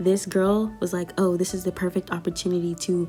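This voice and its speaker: An American accent at a moderate pace, with music in the background. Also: woman. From US South. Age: 20s. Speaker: YouTuber. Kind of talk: storytime. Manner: animated.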